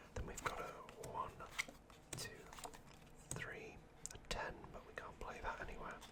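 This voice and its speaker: A man whispers in a British accent at a fairly slow pace. Long, frequent pauses break it up, and background noise is noticeable. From United Kingdom. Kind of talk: ASMR card game commentary. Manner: whispered.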